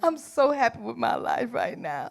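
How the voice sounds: Slowly, a woman with a fairly high pitch speaks through vocal fry, her pitch swinging very widely.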